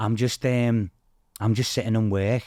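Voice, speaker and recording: Speech with a Liverpool accent at a moderate pace, fairly even intonation, and a dry, close sound with no echo. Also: man. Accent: Scouse. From Liverpool, England (Toxteth). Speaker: TV game show contestant. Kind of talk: casual chat.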